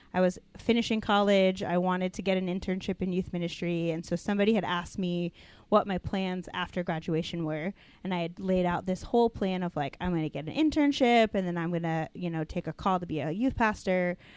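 In a very clean recording with a silent background, a woman with an unremarkable speaking voice talks at a fairly quick pace and a medium pitch, with ordinary pitch variation. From Denver, Colorado, US. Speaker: youth pastor. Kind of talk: casual chat.

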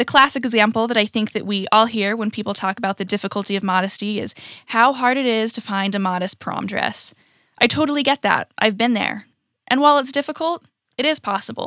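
The voice has an American accent, a bright, sharp tone and ordinary pitch variation at a fairly quick pace. The recording is very clean with a silent background, and the sound is dry and close with no echo. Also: woman, fairly high pitch for a woman. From California and Virginia, US. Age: young. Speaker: college student, youth podcast contributor. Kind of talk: scripted narration.

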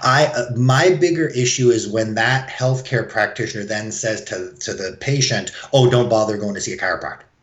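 Noticeable background noise runs under a man's voice. He speaks at a medium pitch and a moderate pace. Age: 40s. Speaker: chiropractor. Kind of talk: interview.

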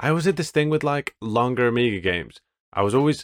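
A man talks very fast in a dry, close sound with no echo. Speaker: game podcaster. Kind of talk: casual chat.

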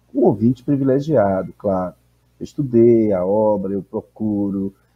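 At a moderate pace, a man with a Bahian accent speaks at a fairly low pitch with ordinary pitch variation. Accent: Bahian Brazilian Portuguese. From Salvador, Bahia, Brazil. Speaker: professor and anthropologist. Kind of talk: interview.

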